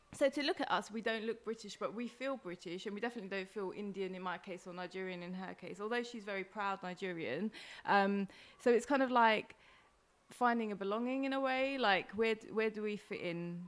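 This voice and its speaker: A woman with an East London accent speaks at a fairly quick pace, her medium pitch rising and falling in an ordinary way. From East London, England. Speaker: comedian and podcaster. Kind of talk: casual interview chat. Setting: host's kitchen.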